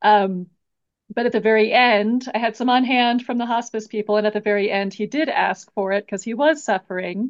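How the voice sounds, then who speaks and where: Using a normal speaking voice, a woman talks fairly quickly at a fairly high pitch with fairly even intonation. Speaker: podcast host. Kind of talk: interview conversation.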